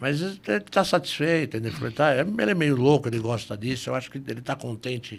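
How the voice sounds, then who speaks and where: A man speaks in a somewhat breathy voice. His pace is moderate and his intonation lively. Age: 60s. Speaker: lawyer and police ombudsman. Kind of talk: podcast interview.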